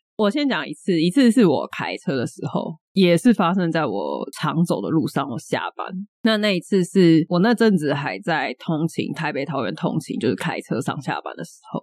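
In a Taiwanese accent, a woman with a fairly low pitch and vocal fry makes very wide pitch swings, recorded with a dry, close sound and no echo. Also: moderate pace. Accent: Taiwanese Mandarin. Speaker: podcast co-host. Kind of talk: casual chat.

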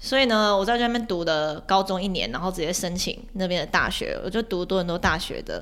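A woman talks at a moderate pace in an animated tone, her medium pitch showing ordinary variation. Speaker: former overseas student, online editor and YouTuber. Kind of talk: casual chat. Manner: animated, talkative.

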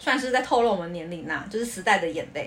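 Against noticeable background noise, a woman speaks very fast with lively intonation. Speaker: podcast co-host. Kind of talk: casual chat. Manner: laughs easily.

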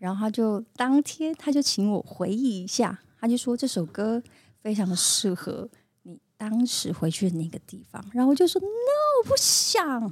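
Fairly high-pitched, somewhat breathy woman's voice, lively in intonation, at a moderate pace with big swings in loudness. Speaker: singer and actress. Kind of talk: casual chat. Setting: studio.

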